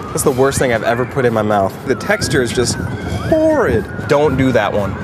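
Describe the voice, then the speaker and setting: With clear music behind him, a man talks at a moderate pace with ordinary pitch variation. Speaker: news site video host. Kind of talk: casual taste-test commentary. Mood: playful, jokey. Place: street. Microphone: camera far.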